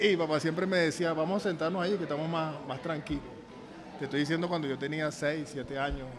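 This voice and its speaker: In a room with audible echo, a man talks very fast in a fairly high voice with fairly even intonation. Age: 60s. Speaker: football coach. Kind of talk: casual interview.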